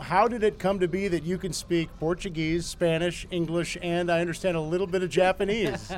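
A high-pitched man talks at a fairly quick pace with monotone, flat intonation. There is noticeable background noise. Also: hardly any pauses. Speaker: radio host. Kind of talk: pregame radio interview.

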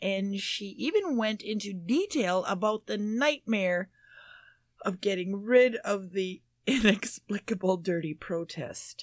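A woman with an American accent speaks fairly slowly at medium pitch with ordinary pitch variation, in a very clean, dry, close recording with no echo and a silent background. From US Midwest. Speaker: panelist on a paranormal quiz show. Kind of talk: casual chat.

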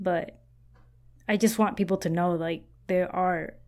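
The recording is very clean with a silent background, capturing a woman with a fairly low-pitched voice. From Taiwan, raised in Central America. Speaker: true crime podcaster. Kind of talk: casual interview. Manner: self-deprecating, casual.

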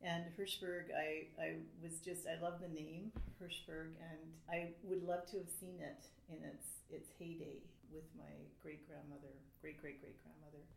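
Speaking at a fairly slow pace, a woman shows big swings in loudness. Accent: Canadian. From Canada. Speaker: writer. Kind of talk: panel discussion.

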